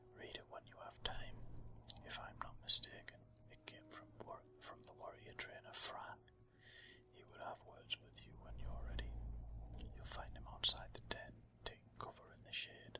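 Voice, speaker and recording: Whispering at a moderate pace, with long, frequent pauses and big swings in loudness. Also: man. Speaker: ASMR gaming channel host. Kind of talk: casual gaming commentary / walkthrough. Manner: soft-spoken, whispered.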